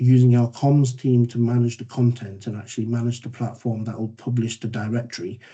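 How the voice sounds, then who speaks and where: With a dark, mellow, somewhat breathy tone, this voice moves at a fairly quick pace in a monotone, flat intonation. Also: man. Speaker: council data manager presenting. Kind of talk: presentation in online meeting. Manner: fast.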